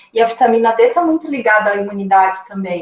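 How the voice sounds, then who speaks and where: A plain, everyday voice carries ordinary pitch variation. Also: woman. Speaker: nutritionist. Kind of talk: lecture.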